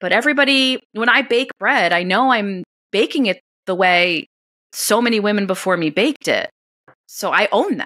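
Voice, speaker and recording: With a New York accent, a woman talks in a fairly high pitch, her intonation lively and her tone animated, bright and sharp, the sound dry and close with no echo. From New York, US, Italian-American family. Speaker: homesteading blogger and podcaster. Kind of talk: interview conversation.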